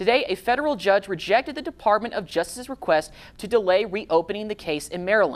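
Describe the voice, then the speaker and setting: Speaking fairly quickly with an American accent, a woman uses an ordinary speaking voice at a medium pitch with lively intonation. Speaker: TV news anchor. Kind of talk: local TV news anchor read. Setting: TV newsroom studio.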